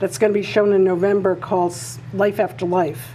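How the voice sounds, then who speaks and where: A woman talks fairly quickly with lively intonation, noticeable background noise behind her. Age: 70s. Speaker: artist. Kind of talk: interview.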